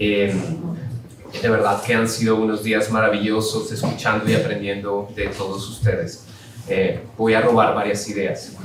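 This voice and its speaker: Over noticeable background noise and audible room echo, a man talks at a fairly slow pace in a monotone, flat intonation. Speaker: philosophy professor. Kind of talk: academic lecture. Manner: halting.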